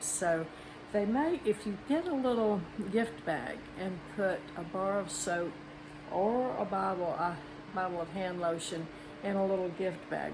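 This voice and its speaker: Amid noticeable background noise and audible room echo, a woman with a Southern US accent speaks at a fairly slow pace, her medium pitch showing ordinary variation. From Mississippi. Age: 80s+. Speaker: retiree craft and cooking vlogger. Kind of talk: tutorial. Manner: casual, chatty.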